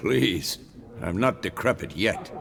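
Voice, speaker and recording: A man does a raspy, put-on character voice with clear background noise behind him. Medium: video game.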